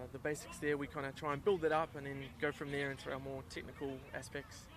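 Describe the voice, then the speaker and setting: Very fast talk from a man. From New Zealand. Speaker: amateur touch rugby player and club organiser. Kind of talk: sideline interview.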